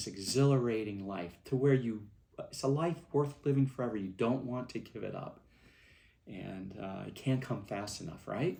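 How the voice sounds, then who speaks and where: Moderate pace with ordinary pitch variation and big swings in loudness. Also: man, medium pitch for a man. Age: 60s. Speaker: movement founder giving a speech. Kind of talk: recorded speech to event attendees. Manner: halting, with many fillers.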